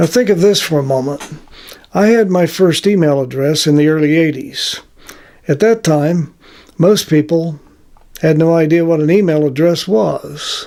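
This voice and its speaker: Speaking with an American accent, a man uses a dark, mellow tone and a fairly high voice at a moderate pace, with ordinary pitch variation, very even loudness and long, frequent pauses. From United States. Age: 80s+. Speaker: retired telecom worker sharing life story. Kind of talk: personal reflection monologue. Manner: halting, frequent uh fillers.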